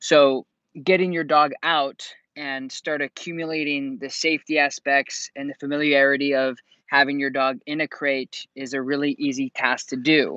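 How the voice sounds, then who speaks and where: A man talks in a flat monotone with a bright, sharp tone, the sound dry with no echo over a quiet background. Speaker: dog trainer. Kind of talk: live stream advice talk. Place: open country. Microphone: earbuds.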